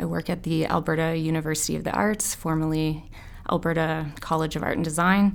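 An unremarkable speaking voice with a Canadian accent. It moves at a moderate pace. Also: woman. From Windsor, Ontario, Canada. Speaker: artist and educator. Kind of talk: casual chat.

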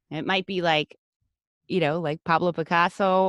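A plain, everyday voice moves at a moderate pace with ordinary pitch variation, heard as a dry, close sound with no echo. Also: woman. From US, Honduran American family. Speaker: podcast network founder. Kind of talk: interview.

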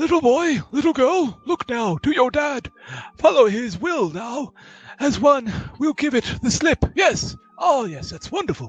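Here a man uses a put-on character voice. His pitch is extremely high. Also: moderate pace. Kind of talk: fussy genteel old-man voice. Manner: rambling, absent-minded, self-affirming "yes, yes".

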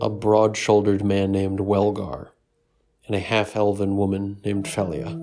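A man with fairly even intonation and music in the background. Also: fairly low pitch for a man, moderate pace. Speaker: storyteller and game master. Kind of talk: dramatic narration of a fantasy role-playing story, with character voices. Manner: sinister voices for villains.

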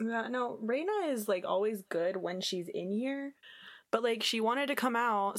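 Woman at a moderate pace with ordinary pitch variation. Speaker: podcast co-host. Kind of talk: casual chat. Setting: remote call recording. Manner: sarcastic.

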